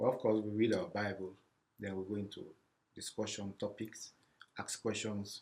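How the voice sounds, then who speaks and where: Pausing long and often, a man with a somewhat breathy, fairly low voice speaks at a moderate pace with fairly even intonation. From Sierra Leone. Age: 50s. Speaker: refugee services program specialist. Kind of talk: interview. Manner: halting, repeats words.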